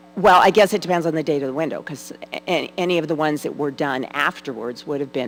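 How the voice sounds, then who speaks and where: Over music in the background, a woman with a very deep, low pitch speaks at a very fast pace with ordinary pitch variation. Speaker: church researcher presenting on stained glass. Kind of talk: Q&A at adult education forum. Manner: loud.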